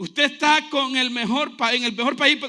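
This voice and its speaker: A man's raised, projected voice at extremely high pitch, bright and sharp in tone and animated, with ordinary pitch variation and a moderate pace. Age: 40s. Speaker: pastor. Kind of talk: sermon.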